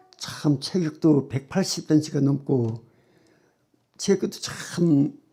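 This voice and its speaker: This man's voice sits fairly high. Its pitch variation is ordinary. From South Korea, Daejeon Yuseong (Chungcheong). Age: 70s. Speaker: church member giving testimony. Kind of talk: testimony.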